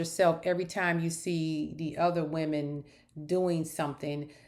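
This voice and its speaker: The speaker is a woman with a fairly low pitch. She talks at a moderate pace. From northern US. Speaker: YouTuber, reality TV commentator. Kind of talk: casual commentary monologue. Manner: animated.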